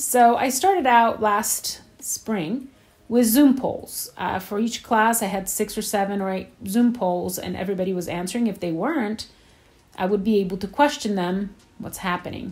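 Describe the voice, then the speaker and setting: With a somewhat breathy voice, a woman speaks at medium pitch and a moderate pace with ordinary pitch variation. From Poland. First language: Polish. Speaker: teacher. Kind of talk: interview.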